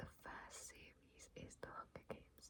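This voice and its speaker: Whispering, a woman speaks at a fairly slow pace. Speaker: ASMR creator. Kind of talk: casual talk to camera. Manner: whispered.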